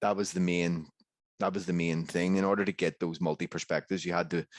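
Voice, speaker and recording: A man with a Northern Irish accent and a very deep, low voice. He talks at a fairly quick pace in a monotone, flat delivery. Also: dry, close sound with no echo, very clean recording, silent background. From Northern Ireland. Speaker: historian. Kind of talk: conference panel discussion. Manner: halting, many repetitions.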